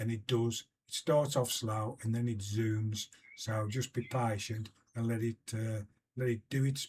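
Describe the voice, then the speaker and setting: With a British accent, a man speaks at a fairly slow pace in a somewhat breathy, monotone, flat voice. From UK. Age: 70s. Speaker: investing vlogger. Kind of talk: casual explainer video. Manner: halting, many fillers.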